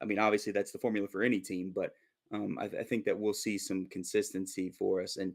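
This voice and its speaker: On a very clean recording with a silent background, a man talks. He goes at a very fast pace. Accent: American. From Minnesota, US. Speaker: football fan commentator. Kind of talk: casual chat.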